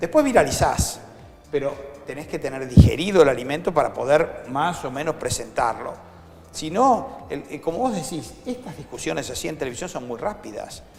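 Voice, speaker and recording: A man with a Rioplatense accent, fairly high in pitch with very wide pitch swings, at a moderate pace over noticeable background noise. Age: 60s. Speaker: foundation director and educator. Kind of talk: interview. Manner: animated.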